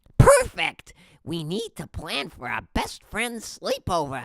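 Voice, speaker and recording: Fairly slow pace and middle pitch in a put-on character voice. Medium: read story. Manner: enthusiastic, pushy.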